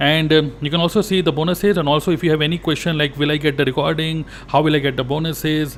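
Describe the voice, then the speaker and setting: A man with an Indian accent, fairly high pitch, a very fast pace and hardly any pauses. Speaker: network marketing coach. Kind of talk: sales pitch.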